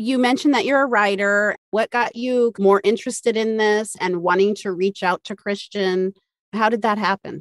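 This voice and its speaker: An unremarkable speaking voice moves at a moderate pace in a dry, close sound with no echo. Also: woman, fairly high pitch for a woman, fairly even intonation. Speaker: podcast co-host. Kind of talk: casual interview conversation.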